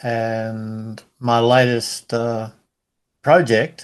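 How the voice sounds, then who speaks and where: A man with a medium-pitched voice. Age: 70s. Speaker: counsellor and men's work facilitator. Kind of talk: casual discussion.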